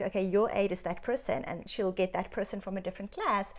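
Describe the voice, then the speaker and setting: A woman speaks with a South African accent at medium pitch. Her tone is animated. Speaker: doctor. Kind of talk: interview.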